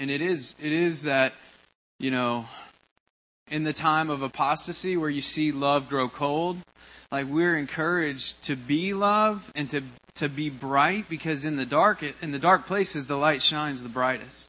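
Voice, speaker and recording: At a fairly slow pace, a man with an unremarkable speaking voice talks with ordinary pitch variation. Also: fairly high pitch for a man. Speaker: congregation member. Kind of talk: testimony.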